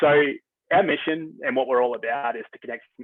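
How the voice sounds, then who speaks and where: Talking at a very fast pace, a man speaks in an Australian accent. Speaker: software company representative. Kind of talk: webinar presentation. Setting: video call. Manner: hesitant, many fillers.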